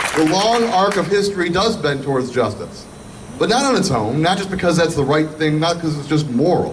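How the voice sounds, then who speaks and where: Over light background noise, a man with a high pitch and lively intonation talks at a fairly quick pace. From Michigan. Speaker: state senator, political speaker. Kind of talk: rally speech, political stump speech. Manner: earnest, building to a rousing finish. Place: street.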